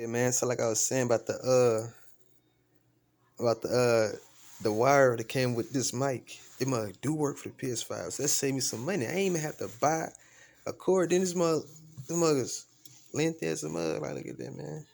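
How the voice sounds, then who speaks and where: Very wide pitch swings from a man at a moderate pace, broken by long, frequent pauses. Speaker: gaming YouTuber. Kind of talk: unboxing review vlog. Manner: quiet, not loud; casual slangy. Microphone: new USB microphone being tested.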